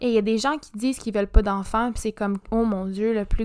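Fairly high in pitch, a woman talks at a fairly quick pace. Her intonation is monotone and flat. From Quebec, Montreal. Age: 20s. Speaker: podcast host and graduate student. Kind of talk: casual solo podcast monologue. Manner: fast, code-switching French and English.

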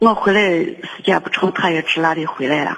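With ordinary pitch variation, a woman speaks fairly slowly. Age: 60s. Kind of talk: phone-in personal account. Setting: phone call. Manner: halting, with many repetitions.

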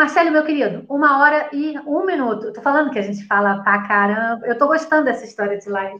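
Lively intonation at a very fast pace, with hardly any pauses. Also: woman, high pitch for a woman. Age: 50s. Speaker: live stream host and municipal candidate. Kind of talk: casual political chat. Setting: Facebook live video call.

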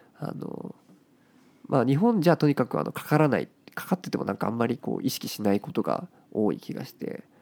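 Recorded dry and close with no echo, a man talks at a fairly quick pace in a fairly high voice, with very wide pitch swings, big swings in loudness and vocal fry. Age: 20s. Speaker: podcast co-host. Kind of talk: casual chat.

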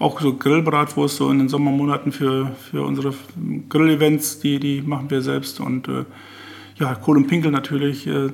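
The man's voice is fairly high in pitch and monotone, with flat intonation. Noticeable background noise runs under it. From northwest Germany, Oldenburger Münsterland. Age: 60s. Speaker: master butcher. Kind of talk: casual chat. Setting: in the host's kitchen. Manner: halting.

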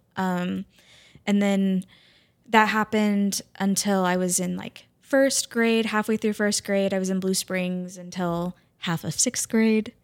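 A woman with a Midwestern US accent and a medium pitch at a fairly slow pace, with fairly even intonation, in a dry, close sound with no echo, on a very clean recording with a silent background. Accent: US Midwest. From Kansas City area, Missouri. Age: 30s. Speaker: math teacher. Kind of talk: casual chat.

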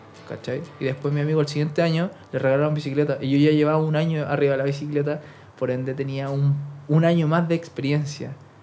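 A man talks at a very fast pace with monotone, flat intonation. His voice is fairly high in pitch, with a dark, mellow tone. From Chile. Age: 20s. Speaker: professional BMX rider. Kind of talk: casual interview chat. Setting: studio with cameras.

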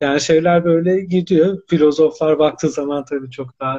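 Dark, mellow tone from a man at fairly high pitch, moderate pace, quiet background. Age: 30s. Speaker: academic and novelist. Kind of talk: live-stream interview.

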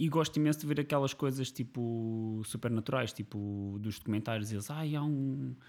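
A man with a plain, everyday voice speaks at a moderate pace with lively intonation. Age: 30s. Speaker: podcast co-host. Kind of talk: casual chat.

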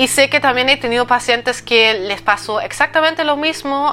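A woman speaks with a German accent at a moderate pace and with ordinary pitch variation. Noticeable background noise sits behind her. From eastern Germany. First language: German (speaking Spanish). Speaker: digestive health coach. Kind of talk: solo podcast monologue.

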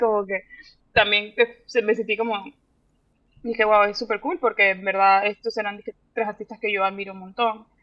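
Fairly even intonation runs through this woman's bright, sharp tone. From Panama. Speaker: visual artist. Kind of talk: interview. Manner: halting.

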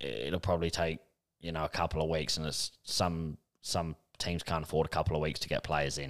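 A man with a very deep, low voice and vocal fry speaks at a fairly quick pace in a monotone, flat intonation. The recording is very clean, with a silent background. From Australia. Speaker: football podcast co-host. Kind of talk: casual chat.

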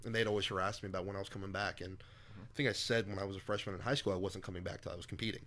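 A man's fairly low, bright and sharp voice at a very fast pace, hardly any pauses, and fairly even intonation. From US military family, moved around (Germany, Hawaii). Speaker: strongman athlete. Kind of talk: casual chat. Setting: at the guest's home.

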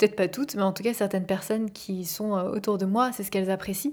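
A woman speaks in a calm tone at a medium pitch. Her voice has a dark, mellow tone. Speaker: life coach and podcast host. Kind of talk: personal monologue. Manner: soothing. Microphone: microphone, not a professional studio.

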